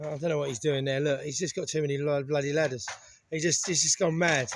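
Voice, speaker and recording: Talking at a very fast pace with an English accent, a man keeps a fairly high pitch and fairly even intonation. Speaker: renovation vlogger. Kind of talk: casual vlog narration.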